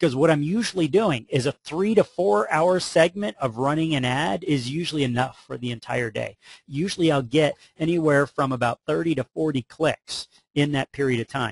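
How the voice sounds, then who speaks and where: Somewhat breathy, a man speaks at a fairly high pitch with ordinary pitch variation. The sound is dry and close, with no echo. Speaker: mortgage marketing trainer. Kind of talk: webinar presentation. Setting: online webinar. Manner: fast; animated.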